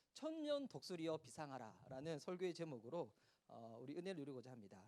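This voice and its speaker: A man at a fairly quick pace, animated in tone. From South Korea, Gyeongsang region. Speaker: pastor. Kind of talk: sermon. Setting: church youth retreat with audience. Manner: animated, interactive with audience.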